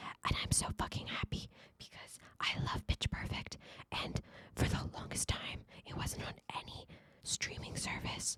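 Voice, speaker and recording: A woman whispers at a fairly slow pace, with big swings in loudness. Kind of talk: casual podcast talk to camera. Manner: casual, chatty, animated, reviewing movies and telling a story.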